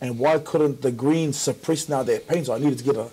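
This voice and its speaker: A somewhat breathy voice at a moderate pace, with fairly even intonation. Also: man. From New Zealand. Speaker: community worker, panelist; panelist. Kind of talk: panel discussion. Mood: earnest, preaching at the end. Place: studio. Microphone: lapel.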